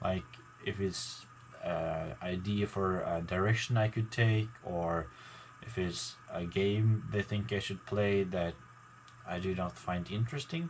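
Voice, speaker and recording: A man mumbles at a fairly slow pace in a fairly low voice. His pitch varies in an ordinary way. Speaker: gaming YouTuber. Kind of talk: casual vlog talk to viewers. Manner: mumbling; halting, many fillers.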